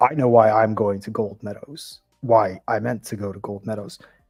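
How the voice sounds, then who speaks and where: Putting on a character voice, a man speaks at a moderate pace with a raspy, medium-pitched voice. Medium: actual play.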